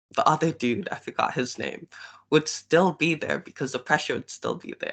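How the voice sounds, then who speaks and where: A man with vocal fry and ordinary pitch variation speaks against a quiet background. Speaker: book club member. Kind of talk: casual discussion. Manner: halting, many fillers.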